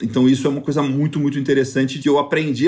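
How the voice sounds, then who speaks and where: A man speaks with a dark, mellow tone. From Rio de Janeiro, raised on a farm in northern Goiás. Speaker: podcast host, cattle rancher and agribusiness consultant. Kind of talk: casual monologue, personal storytelling.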